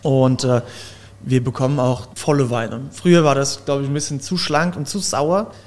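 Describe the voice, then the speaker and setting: A man talks in a normal speaking voice at a fairly high pitch. His pace is moderate and his pitch varies an ordinary amount. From Germany, Palatinate (Zellertal). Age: 20s. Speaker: winemaker. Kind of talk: casual interview.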